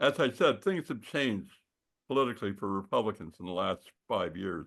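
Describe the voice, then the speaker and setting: Over a quiet background, a man with vocal fry talks at a moderate pace, his pitch swinging very widely. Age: 70s. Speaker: political analyst. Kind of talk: talk at a community group meeting. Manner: rambling, many fillers.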